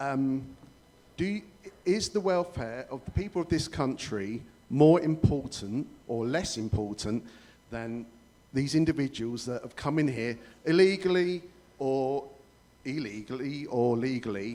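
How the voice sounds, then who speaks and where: A man with a southern English accent speaks at a fairly slow pace and medium pitch, his dark, mellow tone carrying lively intonation broken by long, frequent pauses. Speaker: resident asking questions at public meeting. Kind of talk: public meeting question. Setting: public meeting hall with audience.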